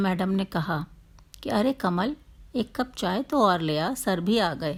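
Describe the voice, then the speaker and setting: Medium in pitch, the woman has an unremarkable speaking voice. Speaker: storyteller. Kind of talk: story narration.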